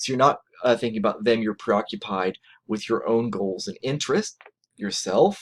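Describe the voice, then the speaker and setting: Very wide pitch swings from a man at medium pitch, moving at a fairly quick pace. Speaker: college lecturer. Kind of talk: lecture. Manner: fast; animated.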